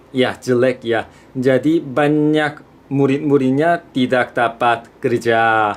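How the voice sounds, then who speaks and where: Very slow male speech at a medium pitch, its intonation fairly even. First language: Korean (speaking Indonesian). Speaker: student vlogger. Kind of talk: vlog talk to camera.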